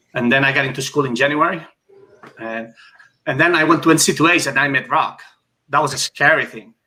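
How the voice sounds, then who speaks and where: At a fairly quick pace broken by long, frequent pauses, a man with a Spanish accent speaks at a fairly high pitch in a bright, sharp tone with fairly even intonation. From Spain, Barcelona (Catalonia). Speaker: former Olympic swimmer. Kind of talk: casual interview.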